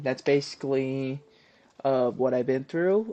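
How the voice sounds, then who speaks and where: The man's voice has a dark, mellow tone. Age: 20s. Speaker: podcast host and cosplayer. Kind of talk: casual chat. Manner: halting, many fillers.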